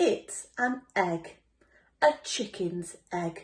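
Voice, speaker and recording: A woman of medium pitch speaks in a put-on character voice. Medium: read story. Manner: self-assured.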